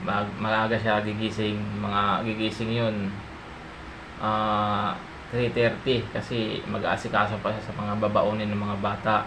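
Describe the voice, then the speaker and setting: A man at a fairly slow pace and fairly low pitch, with monotone, flat intonation, audible room echo, and noticeable background noise. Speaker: vlogger, family breadwinner. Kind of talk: casual vlog. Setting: at home at night, kitchen. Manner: soft-spoken.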